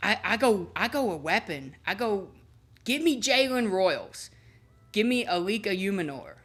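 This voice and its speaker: At a fairly slow pace, a woman's fairly high voice shows vocal fry and very wide pitch swings. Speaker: sports livestreamer. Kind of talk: live commentary. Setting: livestream. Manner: halting.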